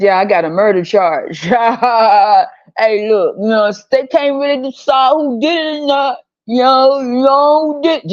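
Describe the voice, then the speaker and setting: In a put-on character voice, someone drawls at a high pitch and a fairly slow pace. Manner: slow, lazy drawl.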